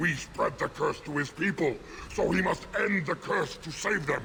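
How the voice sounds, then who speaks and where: A man's put-on character voice against clear background noise. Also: moderate pace. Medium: video game. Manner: gruff, intense.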